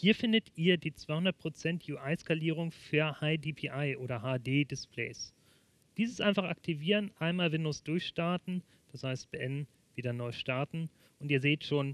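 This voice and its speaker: A man speaks at a very slow pace with ordinary pitch variation. The sound is dry, with no echo. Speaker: presenter. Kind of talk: tutorial. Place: studio. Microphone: headset.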